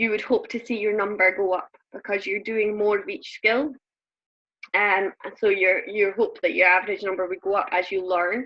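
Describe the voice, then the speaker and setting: Here is a woman speaking. She has a Scottish accent. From Scotland. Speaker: network marketing coach. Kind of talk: group coaching call. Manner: fast.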